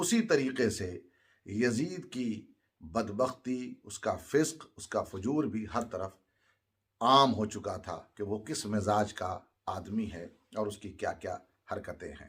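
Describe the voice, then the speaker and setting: A man with an ordinary speaking voice talks at a medium pitch, with lively intonation and big swings in loudness. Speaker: Islamic religious speaker. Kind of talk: Urdu sermon narrating Karbala history.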